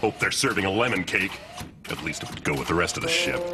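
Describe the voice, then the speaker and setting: Over clear background noise, a man does a cartoonish character voice at a very fast pace, pitched fairly low. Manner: dry, deadpan.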